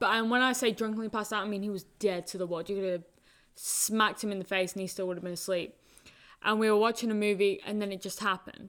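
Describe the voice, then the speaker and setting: A woman at medium pitch, very fast and monotone, on a very clean recording with a silent background. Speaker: college soccer player. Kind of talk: casual chat.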